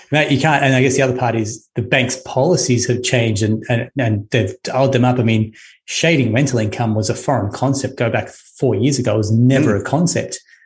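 A man with an Australian accent speaks at a medium pitch and a fairly quick pace, with hardly any pauses. His voice is somewhat breathy, his loudness very even and his intonation fairly even. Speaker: podcast host and mortgage broker. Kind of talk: interview.

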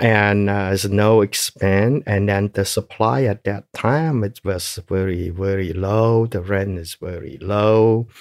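A man with a fairly low pitch speaks very slowly, with hardly any pauses and ordinary pitch variation. The recording is very clean with a silent background and a dry, close sound with no echo. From Cambodia. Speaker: genocide survivor and businessman. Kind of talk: life story interview. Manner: halting, many fillers.

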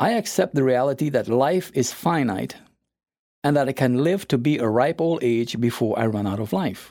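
A man talks at a moderate pace with lively intonation and a dark, mellow tone. The recording is very clean, with a silent background. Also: medium pitch for a man. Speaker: philosopher and author podcast host. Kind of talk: monologue.

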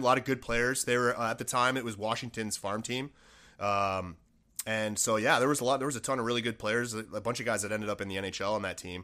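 A man in a Buffalo accent at a very fast pace, medium pitch and a bright, sharp tone, on a very clean recording with a silent background. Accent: Western New York (Buffalo). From Buffalo, New York. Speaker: former pro hockey player and business owner. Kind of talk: casual chat.

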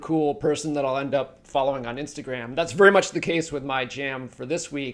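With a normal speaking voice, a man talks at a fairly quick pace in a fairly high pitch and fairly even intonation. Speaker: podcast co-host. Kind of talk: casual podcast conversation.

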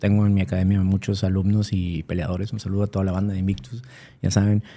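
Speaking at a fairly quick pace, a man has a fairly low pitch and a dark, mellow tone. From Mexico, Monterrey. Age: 40s. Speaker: MMA fighter. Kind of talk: casual chat.

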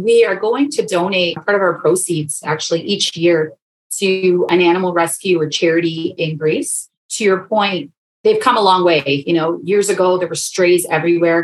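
A woman with a Canadian accent talks at a moderate pace in a normal speaking voice. Her pitch sits fairly low and varies in an ordinary way. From Canada, Toronto. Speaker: pet toy company co-founder. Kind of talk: casual interview.

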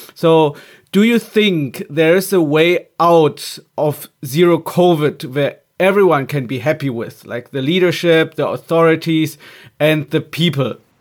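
A man with a German accent speaks at a fairly high pitch and a fairly slow pace, with ordinary pitch variation. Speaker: podcast host. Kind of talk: interview. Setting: remote call.

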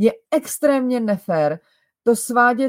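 A woman speaks with lively intonation in a dry, close sound with no echo. The recording is very clean, with a silent background. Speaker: style coach and podcast host. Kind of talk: advice monologue. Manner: slower than usual.

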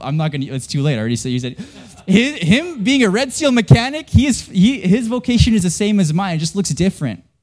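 A man with a Western Canadian accent speaks very fast in a high voice, his pitch swinging very widely. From Canada. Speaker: pastor. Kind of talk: sermon. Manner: casual, conversational with frequent fillers.

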